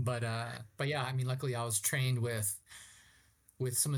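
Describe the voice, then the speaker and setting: A somewhat breathy man's voice with a Californian accent and monotone, flat intonation. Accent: Californian American English. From Southern California (Ramona, San Diego County). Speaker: outdoor guide and tour company founder. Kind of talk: casual interview conversation. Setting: remote call.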